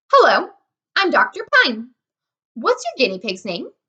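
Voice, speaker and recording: A woman's put-on character voice, squeaky and extremely high, with very wide pitch swings at a moderate pace. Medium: read story. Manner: matter-of-fact.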